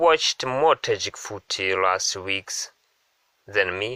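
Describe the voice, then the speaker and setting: Speaking very slowly, a man with a Russian accent uses a medium pitch, ordinary pitch variation and a bright, sharp tone in a dry, close sound with no echo. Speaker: football podcast host. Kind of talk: casual podcast introduction.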